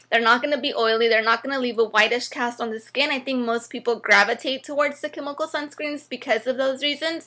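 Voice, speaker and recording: A woman speaks in a raised, projected voice at a very fast pace with hardly any pauses. Her pitch is high and her tone bright and sharp, with fairly even intonation. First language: not English. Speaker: beauty vlogger. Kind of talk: product review tutorial. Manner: casual, hesitant with many fillers.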